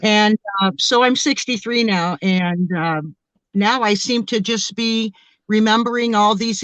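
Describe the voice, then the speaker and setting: In an American accent, a woman with a plain, everyday voice speaks at a fairly slow pace, with fairly high pitch and fairly even intonation against a quiet background. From US Midwest, Springfield, Ohio. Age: 60s. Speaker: experiencer guest, singer. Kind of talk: interview storytelling.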